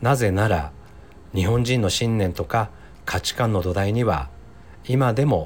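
A man's fairly low-pitched voice at a fairly slow pace, with very wide pitch swings. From Mie Prefecture, Japan (Ise). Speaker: podcaster and psychological counselor. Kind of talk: solo podcast monologue. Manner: polite, formal.

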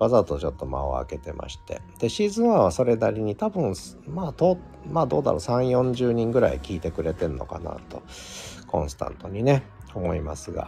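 Fairly low-pitched male voice, relaxed in tone, with very wide pitch swings, a fairly quick pace and music in the background. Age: 50s. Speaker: podcast host. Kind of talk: solo live stream talk. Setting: open studio.

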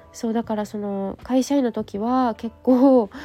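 A woman speaks in a high voice. Her tone is dark and mellow. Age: 30s. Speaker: clay therapist and podcaster. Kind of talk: casual solo talk. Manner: chatty, rambling with fillers.

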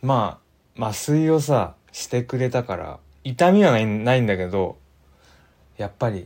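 A man speaks with a dark, mellow tone and lively intonation. His pace is fairly slow. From Gifu/Aichi, central Japan. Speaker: livestream host. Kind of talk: casual livestream chat reading comments. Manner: casual, rambling.

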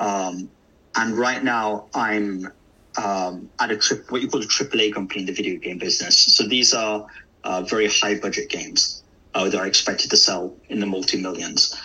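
A man with a fairly low pitch talks at a moderate pace, noticeable background noise behind him. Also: fairly even intonation. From English Midlands, Derby. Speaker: localization manager in video games. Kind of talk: interview. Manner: hesitant, many fillers.

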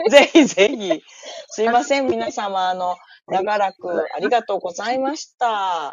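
A woman with a Kansai accent speaks at a fairly slow pace, her pitch medium. Her intonation is lively, and her loudness swings widely. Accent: Kansai dialect Japanese. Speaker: livestream guest. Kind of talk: casual chat. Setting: live audio-app stream, remote.

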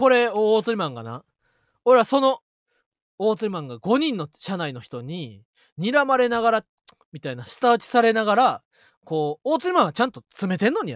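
A man with a high pitch talks at a moderate pace in a Kansai accent, his pitch swinging very widely and his loudness swinging a lot, in a dry, close sound with no echo. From Osaka, Kansai. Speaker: comedian, radio podcast co-host. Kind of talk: casual chat. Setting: live stream.

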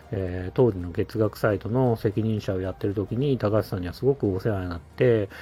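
Fairly low and somewhat breathy, a man's dark, mellow voice moves at a fairly quick pace with hardly any pauses. His pitch varies in an ordinary way. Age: 40s. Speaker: podcaster, former mobile game producer. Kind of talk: casual solo monologue. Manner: hesitant, many fillers.

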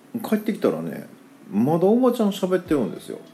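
A man speaks with a Kansai accent. There is noticeable background noise. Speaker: podcaster. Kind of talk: casual monologue. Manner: relaxed, filler-heavy.

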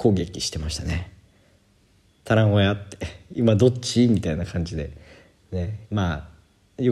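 A man's very deep, low voice, somewhat breathy, with ordinary pitch variation. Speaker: Japanese teacher and podcaster. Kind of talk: casual solo podcast monologue.

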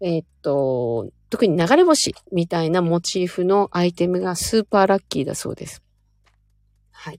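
An unremarkable speaking voice from a woman, fairly low in pitch, with lively intonation, big shifts in loudness, a moderate pace, and a dry, close sound free of echo. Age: 40s. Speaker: stylist and livestream host. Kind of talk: casual livestream chat with listener comments. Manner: relaxed, rambling with frequent fillers.

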